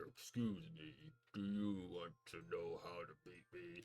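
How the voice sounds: A man puts on a character voice. He speaks at a fairly slow pace with a fairly low pitch.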